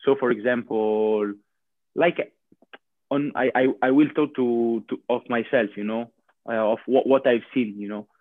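A man speaks at a medium pitch with an Italian accent. His intonation stays fairly even, and his pace is fairly slow. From Italy, near Bologna. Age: 20s. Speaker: professional handball player. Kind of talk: interview. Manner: halting.

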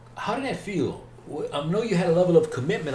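A man with a high pitch and very wide pitch swings, talking very fast with an American accent over noticeable background noise. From US South, north Mississippi. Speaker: faith podcast host. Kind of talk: casual interview about faith.

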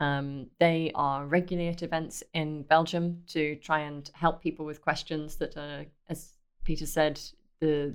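A woman's very deep, low voice with a British accent and monotone, flat intonation. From Britain. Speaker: startup accelerator director. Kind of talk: podcast interview.

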